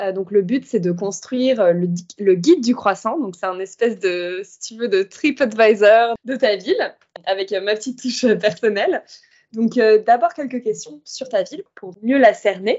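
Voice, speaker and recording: At a fairly slow pace, an unremarkable speaking voice shows lively intonation and big swings in loudness. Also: woman, fairly high pitch for a woman. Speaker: podcast host. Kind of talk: casual interview.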